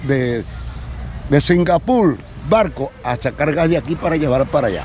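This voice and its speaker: A man with a fairly high voice and ordinary pitch variation speaks over noticeable background noise. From Venezuela, Sucre state (Río Caribe). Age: 60s. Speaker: fisherman. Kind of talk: interview testimony.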